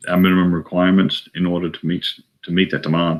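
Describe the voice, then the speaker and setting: This man has a very deep, low voice with an Australian accent. His intonation stays flat and monotone. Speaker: aviation company president, retired air force pilot. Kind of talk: interview answer.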